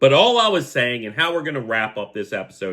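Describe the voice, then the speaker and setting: His pitch is fairly high. This man's voice makes very wide pitch swings. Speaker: sports podcast host. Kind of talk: casual podcast monologue. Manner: animated.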